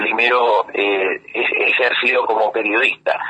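Against noticeable background noise, a man with an Argentine accent talks at a very slow pace. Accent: Argentine Spanish (Rioplatense). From Argentina (raised there from early childhood). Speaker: photographer and journalist. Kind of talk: interview.

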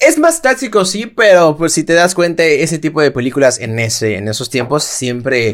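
Speaking at a moderate pace with a Mexican accent, this man has a fairly high pitch, very wide pitch swings and hardly any pauses. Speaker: podcast co-host. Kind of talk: casual chat.

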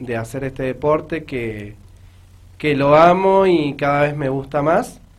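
This man has a normal speaking voice. His pitch is fairly high, with ordinary pitch variation. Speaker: amateur newcom player and referee. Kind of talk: radio interview.

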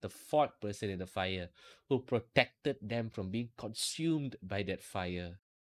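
A man speaks at a moderate pace with ordinary pitch variation, in an ordinary speaking voice. The sound is dry and close with no echo. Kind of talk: fervent prayer. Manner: earnest, pleading, devout.

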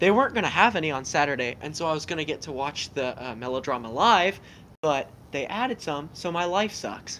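A man with a normal speaking voice, fairly high in pitch for a man, with lively intonation and a fairly quick pace. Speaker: guest interviewee. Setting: video call.

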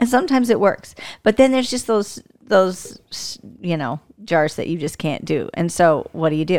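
A woman talks at a moderate pace with a medium pitch. Her voice makes very wide pitch swings. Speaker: podcast co-host. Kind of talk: casual religious discussion.

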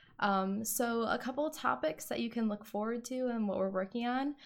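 In an unremarkable speaking voice with an American accent, a woman talks at a fairly quick pace with ordinary pitch variation, on a very clean recording with a silent background. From Wisconsin. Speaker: podcast co-host, meal planning coach. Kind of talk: casual chat.

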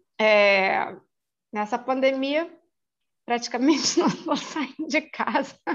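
This woman has a high voice with ordinary pitch variation. She speaks at a very slow pace, with long, frequent pauses. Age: 50s. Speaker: court office assistant. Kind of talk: casual interview. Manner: halting, many repetitions.

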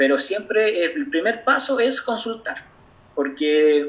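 Over noticeable noise in the background, a man talks with lively intonation. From Chile, Aconcagua Valley (San Felipe). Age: 20s. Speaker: doctor. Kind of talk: interview.

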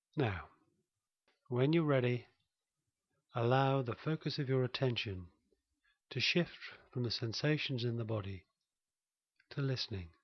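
A calm, soothing tone comes through in a somewhat breathy voice with ordinary pitch variation. Long pauses appear frequently. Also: man, medium pitch for a man. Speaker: meditation teacher and therapist. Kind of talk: slow, gently paced guided meditation with breath and body-awareness cues. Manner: soft-spoken, calm and soothing with unhurried pauses; gentle, invitational phrasing.

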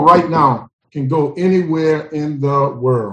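A man with an American accent, a fairly high pitch and an animated tone. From New Orleans, Louisiana. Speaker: motivational speaker and STEM educator. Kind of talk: interview.

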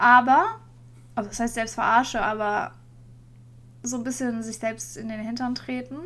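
Fairly high-pitched woman with monotone, flat intonation, a moderate pace, long, frequent pauses and big swings in loudness. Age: 30s. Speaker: podcast co-host. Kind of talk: casual chat.

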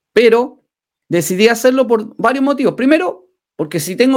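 A man with lively intonation at a moderate pace. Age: 40s. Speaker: livestream host. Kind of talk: motivational livestream talk. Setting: live stream.

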